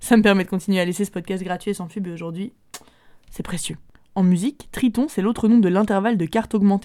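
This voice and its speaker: Her pace is very fast. The woman's pitch is medium and her intonation fairly even. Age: 30s. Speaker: music podcast host. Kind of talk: casual music show presenting.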